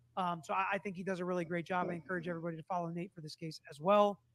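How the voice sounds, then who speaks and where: Very fast and loud, a man speaks. The sound is dry and close, with no echo. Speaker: true crime commentator. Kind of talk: livestream commentary on trial clips. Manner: casual, conversational.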